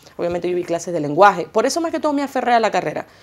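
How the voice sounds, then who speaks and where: A woman's very fast speech with very wide pitch swings. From Venezuela, Maracaibo; Venezuela. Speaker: singer and journalist; journalist. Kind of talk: TV interview. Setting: TV studio. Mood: warm, grateful. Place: studio.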